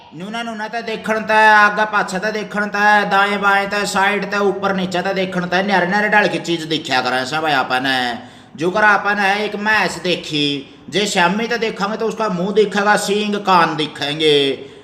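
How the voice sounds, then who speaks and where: Over noticeable background noise, a man with a Haryanvi accent talks in a raised, projected voice with a high pitch. He barely pauses, and his pitch varies in an ordinary way. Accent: rural Haryanvi dialect. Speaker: school teacher. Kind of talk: primary school lesson explained to children.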